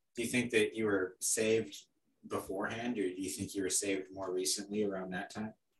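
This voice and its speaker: A man with a somewhat breathy voice moves at a fairly quick pace, his intonation fairly even. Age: young. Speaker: podcast host, bodybuilding coach. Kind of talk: scripted intro; interview.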